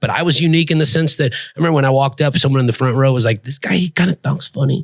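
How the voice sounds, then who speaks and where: A man with an American accent talks at a very fast pace and a fairly high pitch with ordinary pitch variation. His voice is somewhat breathy, and the sound is dry and close with no echo. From Texas. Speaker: stand-up comedian. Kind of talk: casual chat.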